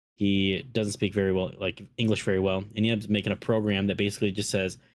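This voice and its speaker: A very fast, flat monotone from a man with a Minnesotan accent, fairly low in pitch, on a very clean recording with a silent background. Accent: Minnesota. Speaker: podcast host. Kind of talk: casual chat.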